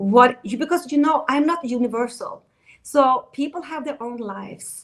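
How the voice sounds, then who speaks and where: With a Swedish accent, a woman with a high pitch talks at a moderate pace, using ordinary pitch variation and big swings in loudness. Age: 50s. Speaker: dating coach. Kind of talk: interview.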